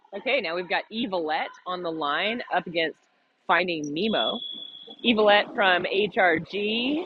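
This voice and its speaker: A loud woman speaks at a fairly slow pace, her pitch swinging very widely. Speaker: roller derby commentator. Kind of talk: live commentary.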